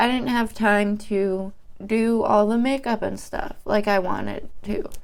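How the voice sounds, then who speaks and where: A woman's fairly high, shaky voice in a flat monotone, at a fairly slow pace. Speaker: beauty YouTuber. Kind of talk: casual vlog, emotional venting while doing makeup. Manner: shaky, nervous.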